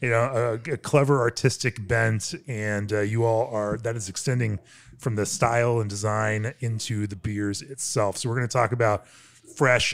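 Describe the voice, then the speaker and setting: A man keeps his intonation fairly even and his pace moderate. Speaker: podcast host. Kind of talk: podcast interview intro. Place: workshop.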